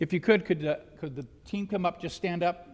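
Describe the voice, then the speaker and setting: A loud man at a high pitch and a very fast pace, with fairly even intonation. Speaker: mock trial team coach. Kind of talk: public meeting recognition. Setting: school board meeting room.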